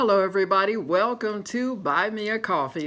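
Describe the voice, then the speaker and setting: A woman with an American accent speaks in an unremarkable speaking voice. Her intonation is lively and her pace moderate. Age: 60s. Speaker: retiree vlogger. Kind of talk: casual vlog monologue.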